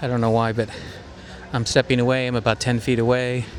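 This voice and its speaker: With noticeable noise behind him, a man speaks fairly quickly. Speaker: tech reviewer vlogger. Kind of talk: casual vlog review. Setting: outdoors at a shopping center. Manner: shifting loud and soft to test mic. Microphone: walking far from camera, up to fifty feet.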